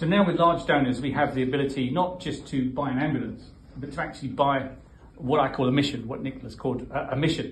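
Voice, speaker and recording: Amid audible room echo and light background noise, a man talks at a very fast pace with fairly even intonation. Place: hall. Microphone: phone near.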